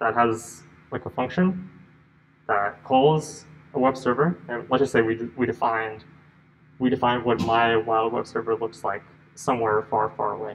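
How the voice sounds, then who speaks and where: Music in the background behind a man at medium pitch, with ordinary pitch variation and long, frequent pauses. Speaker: lecturer on compilers. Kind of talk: lecture. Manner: fast; halting, repetitive false starts.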